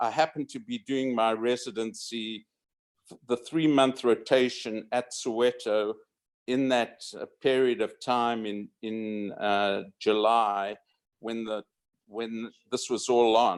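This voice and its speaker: A man with a southern African accent speaks very slowly with fairly even intonation. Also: medium pitch for a man, very clean recording, silent background. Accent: southern African, unrecognized by Americans. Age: 70s. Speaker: retired radiologist. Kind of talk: reunion speech. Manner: halting.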